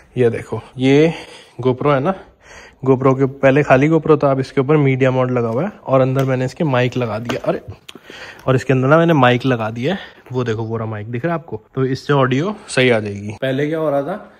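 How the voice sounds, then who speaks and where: Moderate-paced speech from a man, medium in pitch with ordinary variation, noticeable background noise behind it. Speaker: vlogger. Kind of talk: casual vlog talk to camera. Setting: on a motorbike, helmet camera. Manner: casual, chatty.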